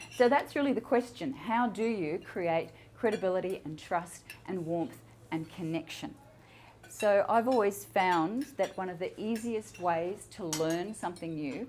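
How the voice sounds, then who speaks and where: A woman has an unremarkable speaking voice at a medium pitch. Her intonation is lively and her pace fairly slow. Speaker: public speaking coach. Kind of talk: talk to a live audience.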